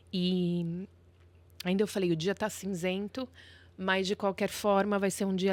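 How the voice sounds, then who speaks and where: Her intonation monotone and flat, a woman with a medium pitch speaks fairly slowly. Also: very clean recording, silent background. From Brazil, São Paulo. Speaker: lawyer. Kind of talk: podcast interview.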